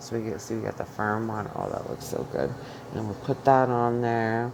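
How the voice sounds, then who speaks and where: A loud, animated woman with a New York accent, with noticeable background noise. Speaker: home cook vlogger with chronic illness. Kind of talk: cooking tutorial. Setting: home kitchen.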